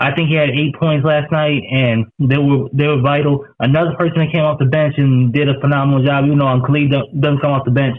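Fairly quick speech in a Southern US accent. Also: man. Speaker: high school sports reporter. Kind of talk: casual interview.

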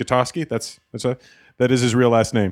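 A man with a Canadian accent and a plain, everyday voice talks at medium pitch and a fairly quick pace with fairly even intonation, in a very clean recording with a silent background and a dry, close sound with no echo. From Canada. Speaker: stand-up comedian. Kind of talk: casual chat. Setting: studio.

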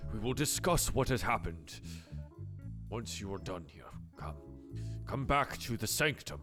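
A man does a put-on character voice at a moderate pace, very deep and low in pitch, with very wide pitch swings, long, frequent pauses, and clear music in the background. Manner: calm and commanding.

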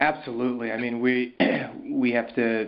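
A man is speaking. His pace is fairly slow. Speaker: startup accelerator CEO. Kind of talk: interview answers. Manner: hesitant, filler-heavy.

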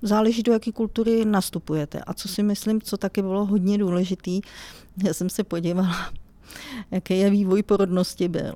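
Recorded very cleanly with a silent background, a woman speaks in a dark, mellow tone with fairly even intonation. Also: medium pitch for a woman, dry, close sound with no echo. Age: 50s. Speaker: IT analyst. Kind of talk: interview.

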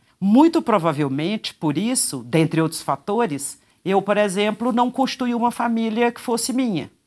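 On a very clean recording with a silent background, a woman's voice moves through very wide pitch swings. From Brazil. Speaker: judge. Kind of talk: interview.

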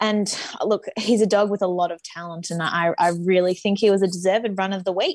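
A woman speaks fairly quickly in an ordinary speaking voice at a medium pitch. Her intonation stays fairly even. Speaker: co-host.

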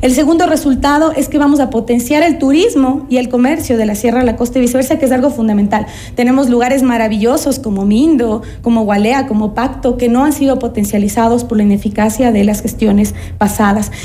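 A woman talks at a fairly quick pace with a high pitch, ordinary pitch variation, very even loudness and hardly any pauses, over noticeable background noise with audible room echo. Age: 30s. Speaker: political candidate, lawyer. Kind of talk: radio interview.

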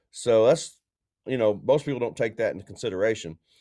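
A man speaks against a quiet background in an ordinary speaking voice. His pitch is medium, and his intonation is lively. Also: dry, close sound with no echo. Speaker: co-host, racing journalist. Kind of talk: casual sports podcast discussion.

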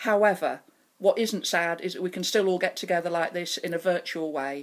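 A woman talks at a fairly quick pace in a medium pitch with ordinary pitch variation. She has a normal speaking voice. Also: very clean recording, silent background. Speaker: city mayor. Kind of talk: formal address.

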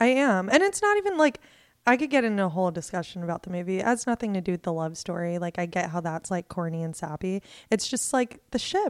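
Lively intonation marks a woman's plain, everyday voice at a fairly quick pace. The recording is very clean with a silent background. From Ohio, US. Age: 20s. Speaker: stand-up comedian. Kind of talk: casual chat.

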